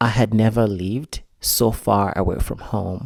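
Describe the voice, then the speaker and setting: Here a man talks at a fairly slow pace with a Malawian accent. The recording is very clean, with a silent background. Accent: non-American, Malawian. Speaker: vlogger. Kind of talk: personal vlog monologue.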